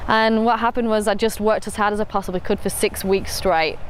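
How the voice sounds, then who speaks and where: A woman with a northern English accent, medium-pitched and very fast, over noticeable background noise. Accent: northern English, noticeable to Australians. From northern England, Rochdale. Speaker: entrepreneur. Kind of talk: personal story interview. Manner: casual with fillers.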